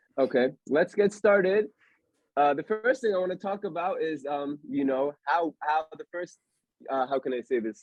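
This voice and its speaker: With lively intonation, an unremarkable speaking voice talks at a moderate pace. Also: man, fairly high pitch for a man. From Pennsylvania, US (Allentown near Philadelphia). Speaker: podcast host. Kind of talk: casual chat. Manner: casual, filler-heavy.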